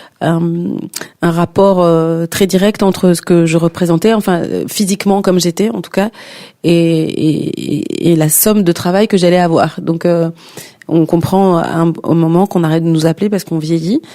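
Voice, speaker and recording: Against noticeable background noise, a woman speaks at a moderate pace in a fairly low voice with fairly even intonation. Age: 50s. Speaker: singer and performing artist. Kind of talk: interview. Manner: halting, many repetitions and fillers.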